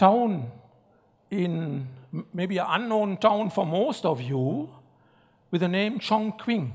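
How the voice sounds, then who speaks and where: A man's high-pitched voice in a German accent, at a fairly slow pace. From Germany. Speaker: keynote speaker, professor. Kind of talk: keynote speech. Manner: formal.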